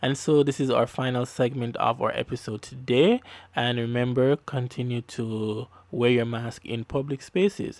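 A man with a Jamaican accent talks at medium pitch and a moderate pace. The recording is very clean, with a silent background and a dry, close sound with no echo. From Jamaica (Kingston). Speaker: podcast host and producer. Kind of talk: devotional radio-style podcast hosting. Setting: studio. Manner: upbeat.

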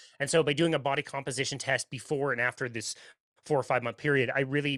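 Speaking at a very fast clip, a man with a medium-pitched voice is heard in a very clean recording with a silent background and a dry, close sound free of echo. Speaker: podcast host and diet guest. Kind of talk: casual interview conversation. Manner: animated, laughs often.

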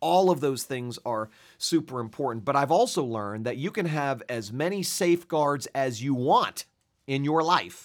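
Over a very clean recording with a silent background, a man speaks at a moderate pace and a fairly high pitch. He has an ordinary speaking voice with lively intonation. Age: 40s. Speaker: pastor. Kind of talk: testimony.

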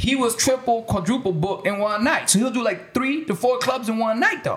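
Amid noticeable background noise, a man with an extremely high pitch speaks at a moderate pace with lively intonation. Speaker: music producer. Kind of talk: casual chat.

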